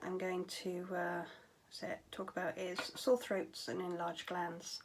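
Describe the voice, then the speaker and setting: Noticeable background noise sits behind a woman with a British accent. She speaks fairly slowly at a medium pitch. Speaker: vlogger with chronic fatigue syndrome. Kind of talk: casual vlog talk. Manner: hesitant, many fillers.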